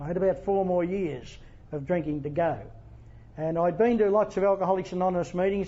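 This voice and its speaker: A man talks with an Australian accent and a high pitch. His pace is fairly quick. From Australia, Wagga Wagga NSW. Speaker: AA speaker. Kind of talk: testimony. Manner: halting.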